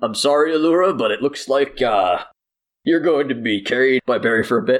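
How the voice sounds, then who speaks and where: A man performs a put-on character voice at a fairly quick pace with lively intonation. His loudness stays very even. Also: medium pitch for a man. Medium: actual play. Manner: curt, irritable.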